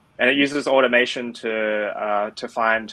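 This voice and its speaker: A man speaks with an Australian accent in a bright, sharp tone. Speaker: tech product lead. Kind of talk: interview.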